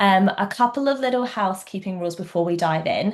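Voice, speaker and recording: Speaking fairly quickly over a quiet background, a woman with a slight English accent and a medium pitch makes very wide pitch swings. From England. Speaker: equine vet. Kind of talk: webinar presentation. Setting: online webinar.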